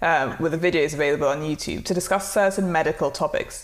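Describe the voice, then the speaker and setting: A woman speaks at a fairly quick pace with ordinary pitch variation. She has an ordinary speaking voice. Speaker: podcast host. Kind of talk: interview.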